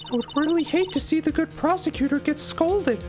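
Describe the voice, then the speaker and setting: A man puts on a character voice pitched extremely high, talking at a fairly quick pace with clear music in the background. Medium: game stream. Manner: calm, cryptic.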